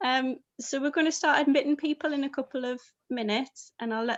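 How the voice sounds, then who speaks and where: A woman with a northeast English accent speaks with ordinary pitch variation. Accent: northeast English, slightly Scottish-sounding. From northeast England. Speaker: panel host. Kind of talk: casual pre-event chat.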